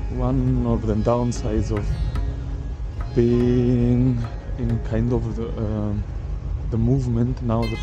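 Over clear music in the background, a man with a very deep, low pitch speaks in monotone, flat intonation, the sound dry with no echo. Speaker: travel vlogger. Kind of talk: casual vlog chat. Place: waterside. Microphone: phone near.

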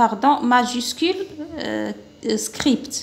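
A woman speaks with an Algerian accent. Her voice is high-pitched. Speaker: primary school teacher; teacher explaining a workbook. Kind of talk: lesson. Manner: slow, syllable-by-syllable. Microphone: phone near.

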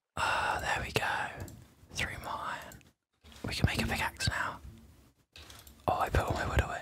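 The speaker is whispering, with long, frequent pauses. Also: moderate pace. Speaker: ASMR gaming creator. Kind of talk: ASMR gaming commentary. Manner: soft whispering.

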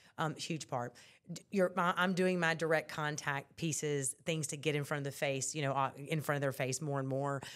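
Very deep, low pitch from a woman, fairly even intonation, moderate pace. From central Louisiana (Leesville). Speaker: political candidate. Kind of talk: interview.

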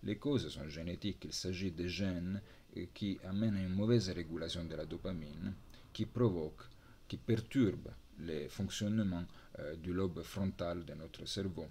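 At a moderate pace, a man talks in a very deep, low pitch with a dark, mellow tone and ordinary pitch variation. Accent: Italian. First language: Italian (speaking French). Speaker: university lecturer. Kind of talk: lecture. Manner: halting. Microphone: webcam.

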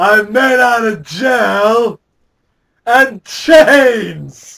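At an extremely high pitch, a man performs in a put-on character voice. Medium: comedy sketch. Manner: insistent, indignant.

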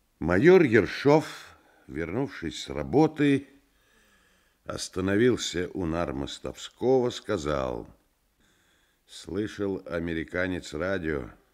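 Over a quiet background, a man with a very deep, low pitch speaks very slowly, his pitch swinging very widely between long, frequent pauses. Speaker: actor reading a novel aloud. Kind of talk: literary audiobook reading. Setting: vintage studio radio recording. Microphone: old recording.

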